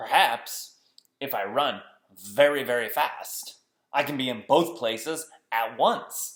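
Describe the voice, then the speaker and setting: A put-on character voice with a low-to-middle pitch delivers the lines at a fairly slow pace. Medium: read story.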